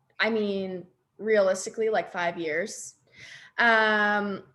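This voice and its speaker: Recorded very cleanly against a silent background, a woman speaks at a medium pitch with ordinary pitch variation. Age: 20s. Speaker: podcast co-host, network marketer. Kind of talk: casual chat. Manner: animated.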